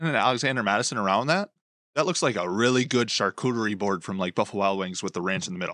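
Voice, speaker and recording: This man talks at a very fast pace with an American accent, his pitch fairly low with ordinary variation. His tone is bright and sharp, and the background is quiet. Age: 30s. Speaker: sports podcast host. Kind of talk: casual chat.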